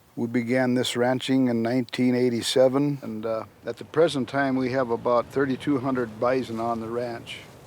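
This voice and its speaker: A man's medium-pitched voice, flat and monotone, at a moderate pace with hardly any pauses. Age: 60s. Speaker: bison rancher. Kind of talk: casual chat.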